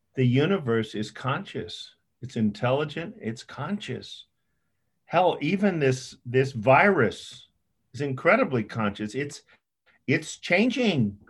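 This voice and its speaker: Somewhat breathy and fairly high-pitched, a man speaks at a very slow pace with very wide pitch swings. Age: 70s. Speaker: psychiatrist. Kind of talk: interview. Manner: halting.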